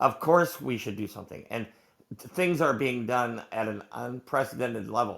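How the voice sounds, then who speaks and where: At a moderate pace, a man speaks with vocal fry, ordinary pitch variation and big swings in loudness. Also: medium pitch for a man. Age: 70s. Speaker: audience participant in live audio room. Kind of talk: live audio room discussion.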